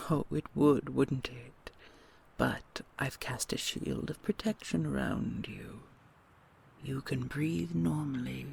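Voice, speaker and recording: Medium-pitched speech from a man using a put-on character voice. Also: fairly slow pace. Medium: audio drama. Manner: soft, doting, slightly condescending.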